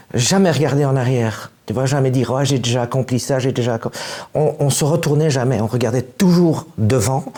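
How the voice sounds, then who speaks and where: A man at a moderate pace, with hardly any pauses, ordinary pitch variation and noticeable background noise. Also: medium pitch for a man. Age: 60s. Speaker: musician. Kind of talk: interview. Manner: halting.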